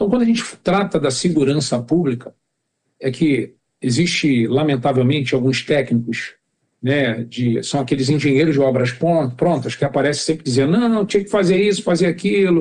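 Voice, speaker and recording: This man has a normal speaking voice with a fairly high pitch and lively intonation. He keeps a moderate pace and very even loudness. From Rio de Janeiro, Brazil (Jacarepaguá). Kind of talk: podcast interview.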